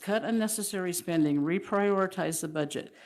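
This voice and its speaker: This woman keeps a medium tempo, recorded very cleanly against total silence. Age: 70s. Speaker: public commenter. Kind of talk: public comment reading. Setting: council meeting.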